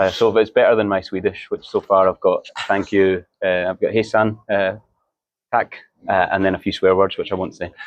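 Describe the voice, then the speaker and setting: A man with a Scottish accent talks at a fairly quick pace, the sound dry and close with no echo. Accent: Scottish, understandable. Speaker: marketing manager of a brewery. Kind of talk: podcast interview. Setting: beer fair stand.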